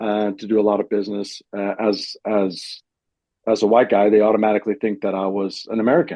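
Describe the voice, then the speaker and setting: The speaker talks at a fairly quick pace with a monotone, flat intonation. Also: man, fairly low pitch for a man. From Germany. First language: German. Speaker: business owner. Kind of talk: podcast interview. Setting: video call. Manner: halting, many fillers and restarts.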